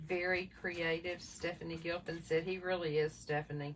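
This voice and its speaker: A woman speaks with a Southern US accent. Her fairly low voice stays flat and monotone. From US South. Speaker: craft livestream co-host. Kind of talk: casual livestream chat reading viewer comments. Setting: live video stream.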